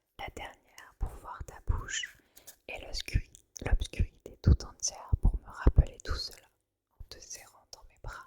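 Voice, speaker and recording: Whispering at a very slow pace, a woman's voice swings widely in loudness. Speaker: ASMR creator. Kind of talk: poetry reading. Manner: whispered.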